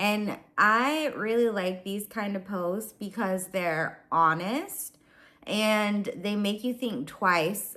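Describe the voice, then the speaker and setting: A woman talks very slowly, her pitch varying in an ordinary way, on a very clean recording with a silent background. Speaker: lifestyle vlogger. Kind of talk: casual chat. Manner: casual with filler ums.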